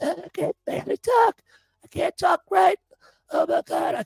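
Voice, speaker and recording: Someone performs a put-on character voice at an extremely high pitch. It sounds strained and hoarse at a moderate pace. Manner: exaggerated, comedic.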